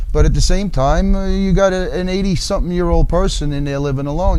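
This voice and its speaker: Against noticeable background noise, a man with a high pitch talks very fast with fairly even intonation. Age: old. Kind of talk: interview answer.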